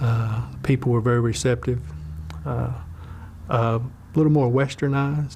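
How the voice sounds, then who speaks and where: A man with a North Carolina accent, medium pitch and ordinary pitch variation, at a moderate pace with long, frequent pauses. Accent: Southern US, North Carolina. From Wilkes County, North Carolina. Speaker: Baptist minister, former logger. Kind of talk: oral history interview answer.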